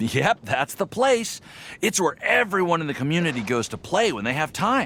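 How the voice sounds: A man's put-on character voice, fairly high in pitch and fairly bright in tone, with vocal fry, big pitch swings and a moderate pace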